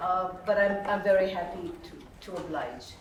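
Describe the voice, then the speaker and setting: A woman's medium-pitched voice carries audible room echo, with noticeable background noise around it. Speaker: emcee, scholar. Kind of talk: event emceeing. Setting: luncheon with audience. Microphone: no microphone.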